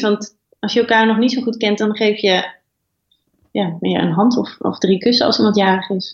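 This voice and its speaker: A woman's somewhat breathy voice, fairly high in pitch, with ordinary pitch variation at a moderate pace. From Twente (Oldenzaal), Netherlands. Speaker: editor-in-chief of an online platform. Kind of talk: interview.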